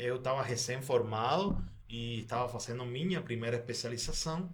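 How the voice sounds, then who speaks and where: A man with a Spanish accent and ordinary pitch variation, in audible room echo. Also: medium pitch for a man, moderate pace. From Cuba. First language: Spanish (speaking Portuguese). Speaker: doctor. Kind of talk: podcast interview.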